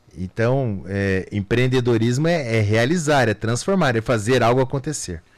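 An ordinary speaking voice moves at a moderate pace with hardly any pauses. The intonation is lively and the loudness very even. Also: man, medium pitch for a man. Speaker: lawyer and entrepreneur. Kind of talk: radio interview. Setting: radio studio.

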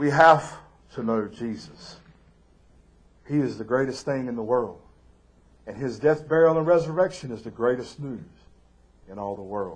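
With a Southern US accent, a man at medium pitch talks at a moderate pace with lively intonation, big swings in loudness, and long, frequent pauses, amid audible room echo. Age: 40s. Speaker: pastor. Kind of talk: sermon. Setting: church live stream.

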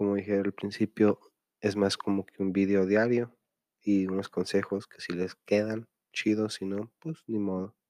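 Dry and close with no echo on a very clean recording with a silent background, a man's fairly low voice has a dark, mellow tone and monotone, flat intonation at a fairly slow pace. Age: 30s. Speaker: podcast host. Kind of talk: casual monologue. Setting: at home late at night. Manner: loud.

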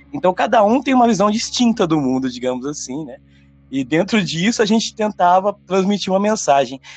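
Here a man with a high pitch speaks at a fairly quick pace, his voice making very wide pitch swings. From interior of São Paulo state, Brazil. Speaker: rock singer and songwriter. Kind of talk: casual interview chat.

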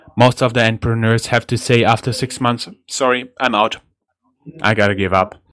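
Talking at a fairly quick pace, a man with a German accent keeps a medium pitch and monotone, flat intonation. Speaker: podcast host. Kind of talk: casual chat.

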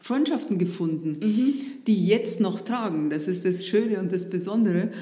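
Female speaker with a rather high pitch, a medium tempo, audible echo from the room and clearly audible background noise. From Upper Bavaria, northeast of Munich. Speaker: former district administrator. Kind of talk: casual interview. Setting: studio.

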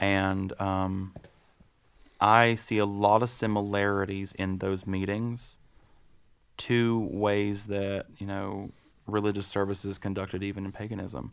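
In an American accent, a man with a fairly low pitch speaks in a monotone, flat intonation with long, frequent pauses, on a very clean recording with a silent background. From western North Carolina. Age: 30s. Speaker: person in recovery. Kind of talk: casual interview. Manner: halting.

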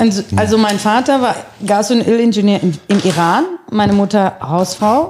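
Noticeable background noise sits behind a woman speaking at medium pitch and a moderate pace, her pitch varying in an ordinary way. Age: 50s. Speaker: fashion designer and business owner. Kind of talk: casual chat.

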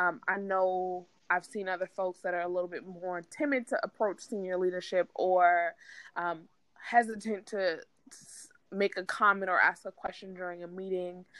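With an unremarkable speaking voice, a woman talks at a medium pitch and moderate pace, her intonation fairly even. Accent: American. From New York City. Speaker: marketing manager. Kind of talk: interview.

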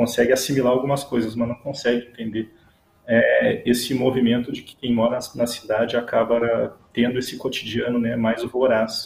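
Flat and monotone in intonation, a man talks at a medium pitch. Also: moderate pace. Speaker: Guarani-descended visual artist. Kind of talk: casual chat.

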